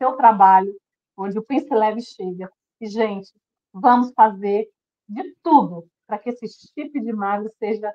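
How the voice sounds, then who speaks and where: A woman speaks at a fairly slow pace with a fairly high pitch, ordinary pitch variation and a dark, mellow tone. Her loudness swings widely, her pauses are long and frequent, and the sound is dry and close with no echo. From Brazil, Federal District. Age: 60s. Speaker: weight-loss program participant. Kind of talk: testimony. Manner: emotional, earnest.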